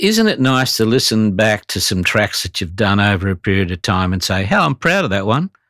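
Speaking at a fairly quick pace with an Australian accent, a man has a bright, sharp tone, and the sound is dry and close with no echo. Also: fairly low pitch for a man, ordinary pitch variation, hardly any pauses. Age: 70s. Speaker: voice actor. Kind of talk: casual chat.

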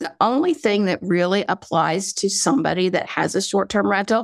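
A woman's voice sits at a medium pitch. The recording is very clean and silent behind her, with a dry, close sound and no echo. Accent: slight Southern. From North Carolina, US South. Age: 60s. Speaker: vacation rental platform founder. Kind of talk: interview. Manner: halting.

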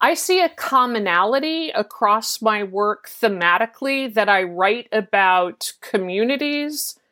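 A woman with a bright, sharp tone and lively intonation talks at a fairly slow pace in a very clean recording with a silent background. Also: very even loudness. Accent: American. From US South. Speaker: TV writer and showrunner. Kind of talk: interview.

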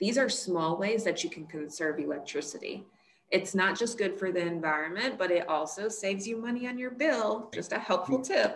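A woman with an American accent speaks at a moderate pace in an unremarkable speaking voice, her pitch medium. Her intonation is lively. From US South, Monroe, Louisiana. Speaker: climate scientist. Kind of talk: interview.

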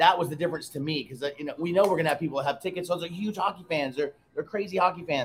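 A man's high voice at a very fast pace, with ordinary pitch variation and hardly any pauses. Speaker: bar owner. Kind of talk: interview.

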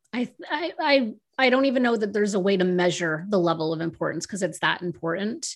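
With an American accent, a woman has an ordinary speaking voice at medium pitch and lively intonation. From United States. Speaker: author and publishing strategist. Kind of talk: casual interview chat.

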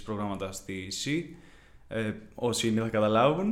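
Moderate pace, ordinary pitch variation and audible room echo. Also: man. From Greece, Kiato, Corinthia. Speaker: university student. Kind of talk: interview.

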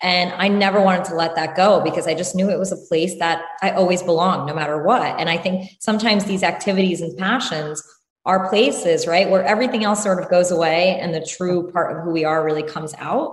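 This woman talks at a fairly quick pace in a normal speaking voice, her pitch fairly low and her intonation fairly even. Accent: American. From US Northeast, New Jersey (Randolph). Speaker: entrepreneur. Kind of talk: interview.

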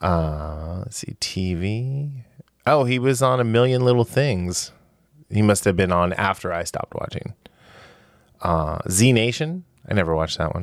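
With a plain, everyday voice, a man talks at a fairly low pitch with lively intonation. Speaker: podcast host. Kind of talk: casual chat.

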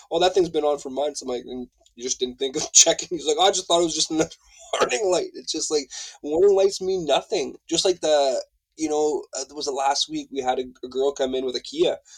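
The recording sounds dry and close, without any echo. A man is talking fairly quickly. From French Canada. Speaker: automotive technician at a tire shop. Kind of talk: casual interview chat.

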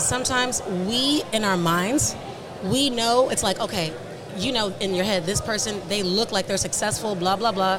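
There is noticeable background noise as a woman speaks at a moderate pace. Her pitch is fairly high with ordinary variation. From Nigeria. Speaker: media marketing entrepreneur. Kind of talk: interview. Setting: studio.

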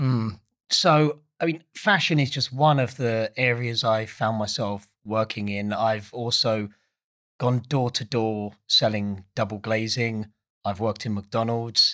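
A man with an Essex accent speaks at a fairly slow pace in a medium-pitched, bright and sharp voice with ordinary pitch variation. The recording is very clean, with a silent background. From Essex, England. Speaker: founder of an ocean energy company. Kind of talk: casual interview chat.

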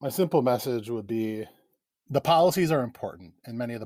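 In an Upper Midwest accent, a man is heard on a very clean recording with a silent background and a dry, close sound with no echo. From Wisconsin, Chippewa Valley. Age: 40s. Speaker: rural political organizer. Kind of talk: interview.

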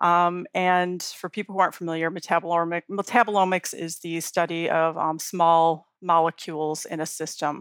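In an American accent, a voice with monotone, flat intonation speaks with hardly any pauses, in dry, close sound with no echo on a very clean recording with a silent background. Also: woman, moderate pace. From US Midwest, Chicago. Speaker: beverage research center director. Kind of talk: interview. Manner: hesitant, many fillers.

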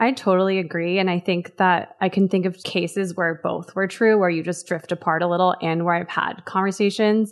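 A woman's medium-pitched voice with an American accent, fairly quick in pace, monotone and flat, with hardly any pauses. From Los Angeles, US West Coast. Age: 30s. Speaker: food writer and recipe developer. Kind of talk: casual chat. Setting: video call.

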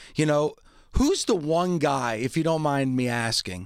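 In a very clean recording with a silent background, a man uses a normal speaking voice at a fairly high pitch and a fairly slow pace. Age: 50s. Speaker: wrestling podcast host. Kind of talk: casual chat.

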